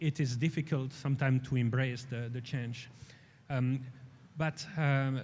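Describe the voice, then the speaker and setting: A man with a European accent speaks at a fairly slow pace with long, frequent pauses. His medium-pitched voice is somewhat breathy, with monotone, flat intonation. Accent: European accent, noticeable. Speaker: space industry executive. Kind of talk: panel discussion. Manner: halting, many fillers and repetitions.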